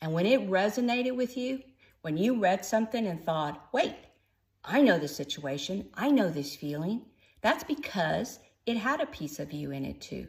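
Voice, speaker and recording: A woman with an American accent speaks at a moderate pace, her voice somewhat breathy. Her pitch swings very widely, and the recording is very clean with a silent background. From Texas, Austin. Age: 60s. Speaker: first-time author and newsletter writer. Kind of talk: personal introduction video to camera, reading from cue cards. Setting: in front of a camera, unedited.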